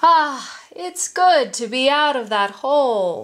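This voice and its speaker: At a fairly slow pace, a woman delivers a put-on character voice set at a high pitch. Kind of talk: children's story reading. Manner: greedy, smug, menacing.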